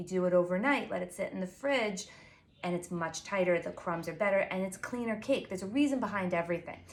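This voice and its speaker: A woman's medium-pitched voice with a Long Island accent. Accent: Long Island New York. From Long Island, New York. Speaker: pastry chef and baking blogger. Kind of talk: tutorial. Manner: fast; casual, filler-heavy.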